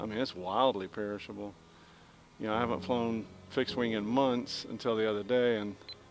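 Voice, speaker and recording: In a Southern US accent, the speaker talks fairly quickly with fairly even intonation over noticeable background noise. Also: man, fairly low pitch for a man. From US South. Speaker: RC pilot and hobby vlogger. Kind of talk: casual chat while flying a model plane. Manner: rambling, relaxed.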